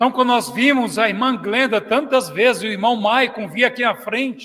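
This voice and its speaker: A man shouts in a raised, projected voice at an extremely high pitch, his intonation fairly even and his pace moderate. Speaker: pastor. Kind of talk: sermon. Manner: loud, shouting; passionate.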